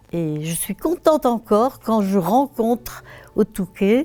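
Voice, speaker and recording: A woman speaks very slowly, her fairly high pitch full of lively intonation. Music plays behind her. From northern France, Pas-de-Calais (Béthune area). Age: 80s+. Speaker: retired primary school teacher. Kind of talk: interview, recounting memories.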